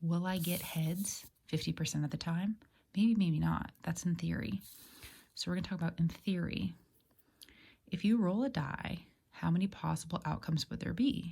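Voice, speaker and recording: Soft-spoken and somewhat breathy, the voice has a dark, mellow tone and long, frequent pauses. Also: woman. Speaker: math teacher. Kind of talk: lecture.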